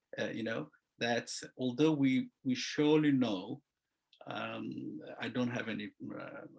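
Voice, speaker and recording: A man speaks at a very slow pace. He has a non-native accent. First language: not English. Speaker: construction lawyer. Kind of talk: seminar presentation. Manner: halting, many fillers.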